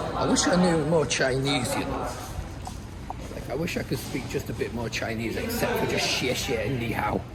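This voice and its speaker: A man's fairly high pitch swings very widely. Room echo and noticeable background noise are both audible. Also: moderate pace. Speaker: travel vlogger. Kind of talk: casual vlog narration. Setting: outdoors, travelling by ferry. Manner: chatty, informal.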